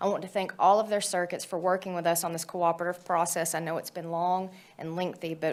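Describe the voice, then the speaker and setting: A woman talks at a fairly quick pace. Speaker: judge, committee chair. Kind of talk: formal committee report. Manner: loud; formal.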